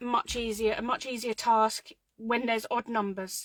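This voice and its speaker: Recorded very cleanly with a silent background and a dry, close sound without echo, a woman with a British accent speaks at a fairly slow pace, with a fairly high pitch and fairly even intonation. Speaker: craft tutorial host. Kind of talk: live craft tutorial. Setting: home craft room livestream. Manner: casual, chatty; quiet while concentrating.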